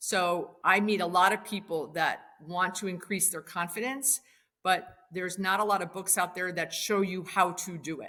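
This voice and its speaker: On a very clean recording with a silent background, a woman with an American accent speaks at a moderate pace in a medium pitch, her tone bright and sharp and her intonation fairly even. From Wisconsin. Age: 60s. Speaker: commercial real estate investor. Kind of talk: podcast interview.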